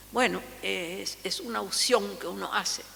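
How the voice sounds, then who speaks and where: Noticeable background noise and audible room echo surround a woman's speech. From Paraguay. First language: Guarani (speaking Spanish). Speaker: linguist. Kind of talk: lecture. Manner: halting.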